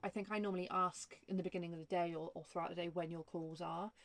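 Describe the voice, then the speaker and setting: A woman with a fairly low pitch and fairly even intonation. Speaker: vanlife vlogger. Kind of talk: casual chat. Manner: loud.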